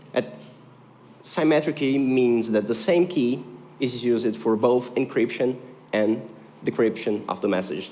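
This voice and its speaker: A man's medium-pitched voice with a Portuguese accent, fairly slow and with ordinary pitch variation. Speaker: conference speaker. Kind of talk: technical talk.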